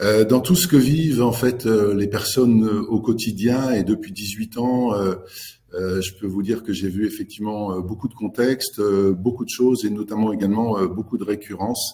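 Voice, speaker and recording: Speaking at a moderate pace, a man has a dark, mellow tone, a fairly low pitch and ordinary pitch variation. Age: 60s. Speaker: executive coach. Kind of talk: webinar presentation. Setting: online webinar. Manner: halting, many fillers.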